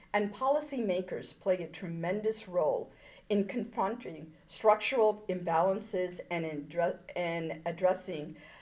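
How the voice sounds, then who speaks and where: The woman speaks at a fairly slow pace. Her pitch is medium, with ordinary variation. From moved from India to the US at age seven. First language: not English. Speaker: politician and engineer. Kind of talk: keynote speech.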